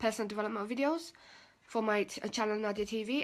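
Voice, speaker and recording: The speech comes at a very fast pace with ordinary pitch variation, in a very clean recording with a silent background. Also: woman. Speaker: personal development coach. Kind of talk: live stream talk. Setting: live video stream. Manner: low energy.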